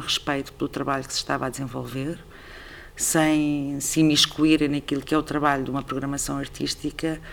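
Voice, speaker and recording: The woman's voice is very deep and low, with monotone, flat intonation. She keeps a moderate pace. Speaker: artistic director of a theatre. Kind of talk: interview conversation.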